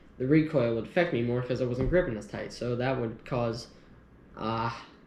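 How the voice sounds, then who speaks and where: Medium-pitched male voice with audible room echo. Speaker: gun youtuber. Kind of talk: casual gear review. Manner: hesitant, many fillers.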